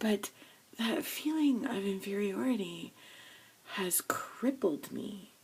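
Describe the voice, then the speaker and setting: A quiet woman speaks very slowly with lively intonation and a fairly high pitch, leaving long, frequent pauses over noticeable background noise. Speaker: video blogger. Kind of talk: personal confession vlog. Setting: home studio. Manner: speaking quietly.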